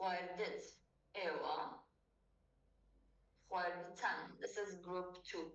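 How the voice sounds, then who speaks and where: Very slow speech from a woman with long, frequent pauses and audible room echo. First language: Kurdish. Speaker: language tutor. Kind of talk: tutorial.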